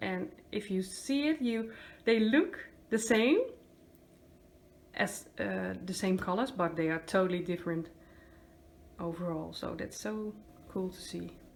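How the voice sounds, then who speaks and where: With a Dutch accent, a woman speaks at a fairly slow pace. Long pauses come often. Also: big swings in loudness. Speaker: acrylic pour artist. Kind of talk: casual talk to camera.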